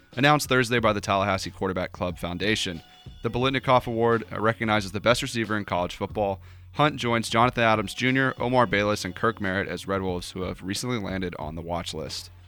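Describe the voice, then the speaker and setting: Over background music, a man talks at a very fast pace with a fairly low pitch and ordinary pitch variation. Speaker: radio co-host. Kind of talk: sports headlines reading, then casual chat. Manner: brisk, straightforward news-reader delivery.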